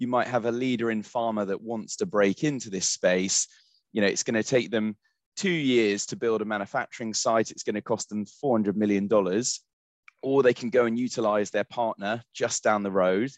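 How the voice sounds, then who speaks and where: A man with an ordinary speaking voice talks at a medium pitch and moderate pace, his intonation fairly even. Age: 20s. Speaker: recruitment headhunter. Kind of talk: interview.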